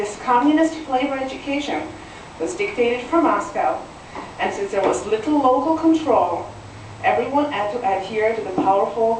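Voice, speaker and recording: A woman speaks at a moderate pace with a fairly high pitch and very wide pitch swings. The recording has audible room echo and noticeable background noise. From Czechoslovakia (Ostrava, northeast Czech lands). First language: Czech. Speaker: citizen testifying at legislative hearing. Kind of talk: public testimony. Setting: legislative committee hearing. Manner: formal.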